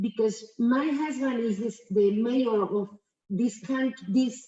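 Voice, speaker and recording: Here a woman speaks with an Argentine accent. Her pitch is fairly high and varies in an ordinary way. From Argentina. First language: Spanish. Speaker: businesswoman and guest speaker. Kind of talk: presentation. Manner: halting.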